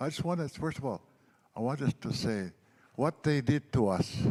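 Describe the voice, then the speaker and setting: A man with an Albertan accent speaks at a moderate pace with lively intonation. His tone is dark and mellow. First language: Blackfoot. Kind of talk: speech at a healing gathering. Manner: halting, with repetitions.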